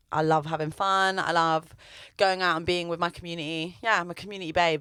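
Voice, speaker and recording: In a very clean recording with a silent background, a woman with a London accent speaks at a fairly quick pace and a fairly low pitch, her bright, sharp tone kept monotone and flat. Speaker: singer-songwriter. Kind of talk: radio interview. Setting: radio studio.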